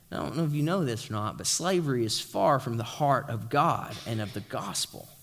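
A man in an East Tennessee accent talks at a moderate pace and a medium pitch on a very clean recording with a silent background. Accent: Southern US (East Tennessee). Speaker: pastor. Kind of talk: sermon. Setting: church. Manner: informal, joking.

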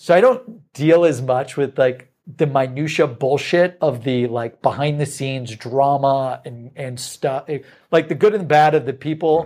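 With hardly any pauses, a man speaks at a fairly slow pace in an unremarkable speaking voice, his pitch fairly high with ordinary variation, on a very clean recording with a silent background. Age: 30s. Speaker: sales company executive. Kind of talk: casual interview chat. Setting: studio.

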